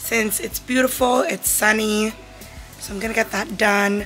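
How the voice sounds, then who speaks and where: A woman with ordinary pitch variation over faint background music. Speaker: vlogger. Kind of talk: casual vlog chat. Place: home room. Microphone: phone near.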